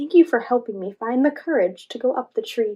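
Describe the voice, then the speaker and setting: A woman's squeaky, high-pitched, put-on character voice at a fairly quick pace. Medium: read story.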